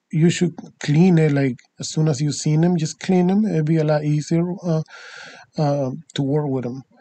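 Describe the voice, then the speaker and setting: A man with a non-native accent, a fairly high pitch and fairly even intonation, at a moderate pace. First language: not English. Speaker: DIY tutorial maker, party rental business owner. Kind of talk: tutorial. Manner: halting, many fillers.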